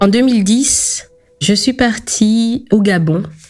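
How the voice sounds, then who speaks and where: A woman speaks over noticeable background noise. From Belgium, Congolese parents. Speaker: decolonial activist. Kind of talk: life-story interview.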